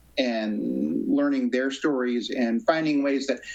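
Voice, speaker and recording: A man talks with an American accent at a moderate pace while noticeable background noise carries on. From US Northeast. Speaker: composer. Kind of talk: interview. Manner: halting.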